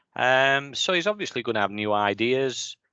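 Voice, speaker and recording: With a bright, sharp tone, a man speaks at a fairly slow pace and ordinary pitch variation, the sound dry and close with no echo against a quiet background. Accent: Yorkshire. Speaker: podcast co-host, football fan. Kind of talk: casual chat.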